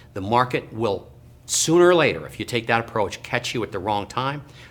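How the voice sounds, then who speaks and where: The speech comes at a moderate pace in an ordinary speaking voice. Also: man. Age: 60s. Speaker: financial planner. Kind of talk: educational talk to camera.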